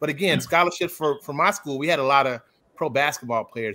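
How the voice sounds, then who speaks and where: Over light background noise, a man with an American accent talks at a fairly quick pace in a bright, sharp tone, with ordinary pitch variation and a dry sound with no echo. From Chicago area, Illinois; Illinois. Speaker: accountant; panelist. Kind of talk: panel discussion. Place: home room.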